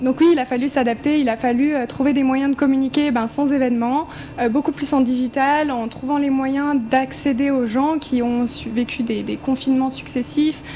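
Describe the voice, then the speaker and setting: A woman with a high pitch speaks in a flat monotone with hardly any pauses, against noticeable background noise. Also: moderate pace. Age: 20s. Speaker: cosmetics startup founder. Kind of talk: panel discussion.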